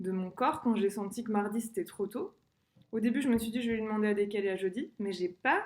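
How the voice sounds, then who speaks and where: The voice is somewhat breathy and moves at a fairly quick pace. Its pitch variation is ordinary. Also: woman. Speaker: singer sharing personal experience. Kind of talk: personal vlog monologue. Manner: fast; hesitant, many fillers.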